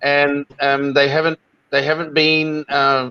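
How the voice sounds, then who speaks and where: With a New Zealand accent, a man speaks in a bright, sharp tone, the sound dry and close with no echo. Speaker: online show host. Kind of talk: interview. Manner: hesitant.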